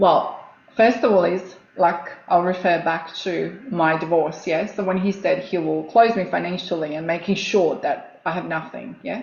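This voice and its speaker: Speaking with a Croatian accent, a woman with a fairly low pitch talks at a moderate pace with hardly any pauses, amid noticeable background noise and audible room echo. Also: ordinary pitch variation. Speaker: coach and former nurse. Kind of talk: casual interview chat.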